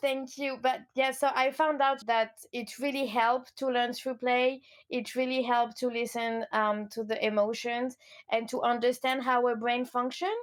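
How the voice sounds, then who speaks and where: In a French accent, a woman talks at a moderate pace with fairly even intonation and a high pitch. The recording is very clean, with a silent background. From France, Lyon. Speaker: coach. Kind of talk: interview.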